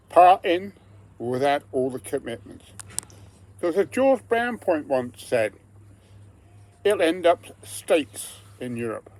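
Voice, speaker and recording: A man with a strong English accent and a high pitch speaks fairly slowly, taking long, frequent pauses, as his pitch swings very widely. Background noise is noticeable throughout. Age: 70s. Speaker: retired pensioner vlogger. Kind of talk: personal political monologue.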